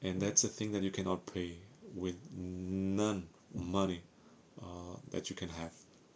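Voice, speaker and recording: A man with a Portuguese accent speaks at a very deep, low pitch and a fairly slow pace. His intonation is flat and monotone, with long, frequent pauses. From Portugal. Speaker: ex-Jehovah's Witness vlogger. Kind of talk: personal testimony. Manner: halting, with fillers.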